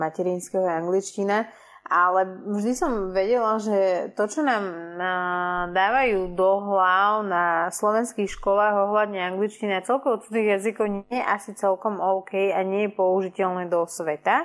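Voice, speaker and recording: A woman speaks in a plain, everyday voice at a medium pitch, with very even loudness. Her intonation is fairly even, on a very clean recording with a silent background. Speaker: guest who studied abroad. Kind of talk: casual chat. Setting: live audio room.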